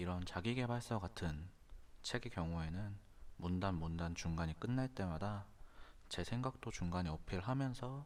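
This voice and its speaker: A man with a very deep, low pitch speaks at a fairly slow pace, his intonation lively and his loudness very even. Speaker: audiobook narrator. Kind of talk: casual talk to camera.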